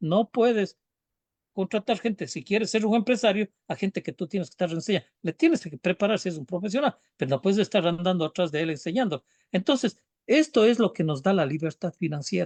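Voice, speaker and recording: At a fairly quick pace, a man speaks with a high pitch and lively intonation in a dry, close sound with no echo. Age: 60s. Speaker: business speaker. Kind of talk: casual chat. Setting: live stream.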